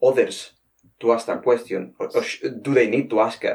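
This man speaks with a Spanish accent. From Spain. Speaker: podcast host, veterinary professional. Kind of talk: interview conversation. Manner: halting.

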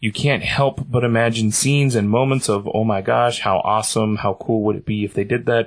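A man speaks in a plain, everyday voice at a medium pitch. His intonation is fairly even against a quiet background. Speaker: podcast co-host. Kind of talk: casual chat.

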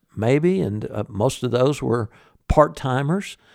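A Southern US accent at a fairly slow pace with very wide pitch swings, in a very clean recording with a silent background. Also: man. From US South, Birmingham, Alabama. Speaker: musician, guitarist. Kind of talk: interview. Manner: halting, many fillers.

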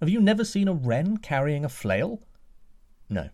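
A man's somewhat breathy voice with a dark, mellow tone at a moderate pace, in a very clean recording with a silent background. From Scotland. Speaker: storytelling podcast host. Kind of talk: storytelling narration.

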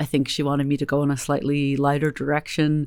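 On a very clean recording with a silent background, a woman with an American accent speaks at a very deep, low pitch. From US West Coast, Berkeley, California. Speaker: novelist. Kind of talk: interview.

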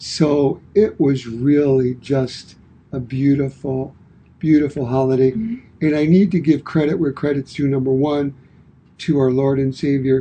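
Somewhat breathy, a man with an American accent speaks at a fairly slow pace in a dark, mellow tone, with a fairly high pitch and fairly even intonation. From Brooklyn, New York. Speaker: podcast co-host, fitness and wellness coach. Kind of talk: casual chat.

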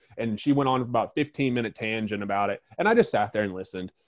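A man with an American accent speaks at a medium pitch and a fairly quick pace, in an unremarkable speaking voice. His intonation stays fairly even against a quiet background. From North Carolina. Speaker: horse trainer and business owner. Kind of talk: interview.

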